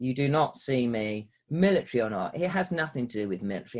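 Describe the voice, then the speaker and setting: A man with a normal speaking voice talks at a fairly quick pace with lively intonation, in a very clean recording with a silent background. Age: 50s. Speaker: former fighter pilot and prisoner of war. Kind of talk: interview.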